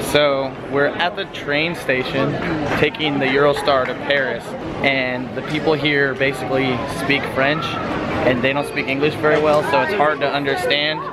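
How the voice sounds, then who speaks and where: A man speaks at a moderate pace. Crowd noise can be heard behind him. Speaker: family travel vlogger. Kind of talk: casual vlog chat. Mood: slightly stressed, amused. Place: station. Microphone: phone near.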